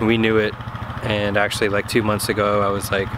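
With noticeable background noise, a man talks at a very fast pace in a dry sound with no echo. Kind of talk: casual vlog chat. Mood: mildly frustrated, resigned. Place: forest. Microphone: phone near.

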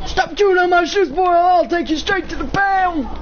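Clear background noise accompanies a put-on character voice at a moderate pace. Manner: cranky, scolding.

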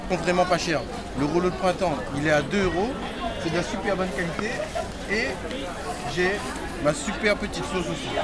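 Over loud background noise, a man talks at a moderate pace, leaving long, frequent pauses. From Réunion. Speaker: travel vlogger. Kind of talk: casual vlog, walking tour. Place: market. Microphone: phone near.

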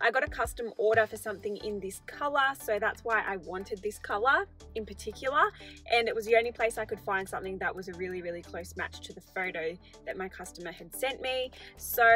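Delivered at a very fast pace with ordinary pitch variation and big swings in loudness, the speech sounds dry with no echo, with faint music in the background. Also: woman. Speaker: crochet vlogger. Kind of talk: casual vlog chat. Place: car. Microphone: phone near.

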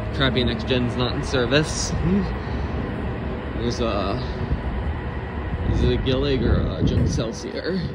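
Music plays in the background as a man speaks. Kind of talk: casual commentary. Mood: amused, chatty. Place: station. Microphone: phone near.

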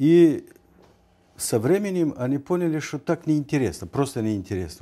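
A man with a fairly high pitch and a dark, mellow tone speaks at a moderate pace, his pitch swinging very widely. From Moldova. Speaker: university rector and scholar; guest. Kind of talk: TV interview. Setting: studio. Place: studio. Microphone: lapel.

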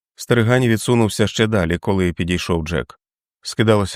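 Against a quiet background, this is plain reading aloud with ordinary pitch variation.

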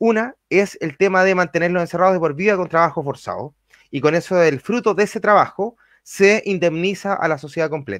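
A man talks at a fairly quick pace in a high pitch. The sound is dry with no echo, over a quiet background. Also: ordinary pitch variation. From Chile. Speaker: radio panelist. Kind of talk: panel questioning. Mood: serious, argumentative. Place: home room. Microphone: studio mic.

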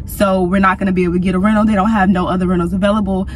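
The woman's intonation stays fairly even. Her sound is dry with no echo, and there is light background noise. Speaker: travel vlogger. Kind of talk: casual vlog chat. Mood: exasperated, storytelling. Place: car. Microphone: phone near.

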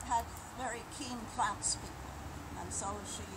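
Loud background noise fills the recording. The speaker talks at a fairly slow pace. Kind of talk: memorial tribute speech. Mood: warm, reminiscing. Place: garden. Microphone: camera far.

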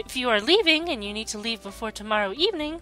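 Read in a natural reading voice, the words rise and fall with lively intonation.

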